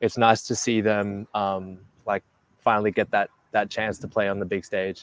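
In an Australian accent, a man speaks with a fairly low pitch and flat, monotone intonation, the sound dry and close with no echo. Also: moderate pace. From Australia, Melbourne. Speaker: basketball player. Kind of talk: casual chat.

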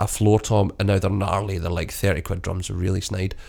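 Vocal fry runs through speech with fairly even intonation. The recording is very clean, with a silent background. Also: man. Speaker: podcast host, drum shop staff. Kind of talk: casual chat. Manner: loud.

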